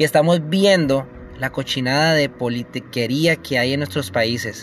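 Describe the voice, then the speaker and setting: Noticeable background noise sits behind a man speaking at a fairly slow pace. His medium pitch shows ordinary pitch variation. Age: 40s. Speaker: podcaster. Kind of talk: opinion monologue. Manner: halting.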